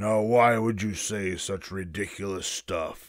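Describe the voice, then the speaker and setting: In a put-on character voice, a man growls in a gruff, fairly low tone at a fairly slow pace, on a very clean recording with a silent background. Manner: growling, scornful.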